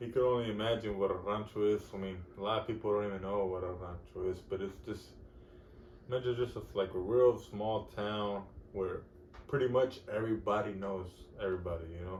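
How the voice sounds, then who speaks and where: A man's somewhat breathy voice at a fairly low pitch, fairly quick pace and fairly even intonation. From Texas, Fort Worth. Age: 30s. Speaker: podcast host. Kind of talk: casual monologue.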